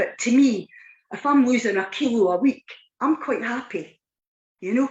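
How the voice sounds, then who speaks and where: Speaking in a Scottish accent, a woman has a high pitch and lively intonation. Her pace is moderate. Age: 60s. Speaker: weight loss client. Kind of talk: testimony. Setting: live online show.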